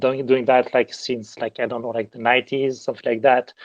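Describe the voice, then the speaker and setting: A man's medium-pitched voice with a French accent, fairly quick and monotone, with flat intonation. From southern France. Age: 50s. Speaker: digital artist and art director. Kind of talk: interview. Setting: live audio chat room. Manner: halting, many fillers.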